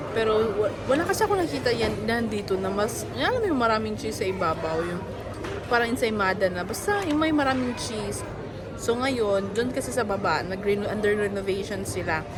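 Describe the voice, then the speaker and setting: Crowd noise and audible room echo surround a woman's fairly high-pitched voice. She talks at a fairly quick pace with lively intonation. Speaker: vlogger. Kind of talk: vlog. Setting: shopping mall. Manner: casual.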